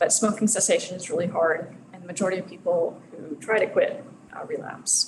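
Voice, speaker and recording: A soft-spoken woman talks at a fairly quick pace amid noticeable background noise and audible room echo. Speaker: researcher. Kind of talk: lecture. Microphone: too quiet, mic moved closer.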